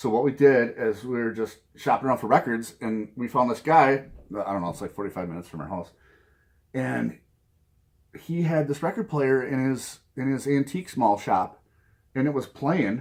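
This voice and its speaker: Here is a man with a Minnesota accent. His intonation is lively. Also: medium pitch for a man, moderate pace. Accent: Minnesota accent, noticeable. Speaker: vinyl record collector video host. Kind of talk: casual vlog talk to camera. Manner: casual, with frequent fillers and repetitions.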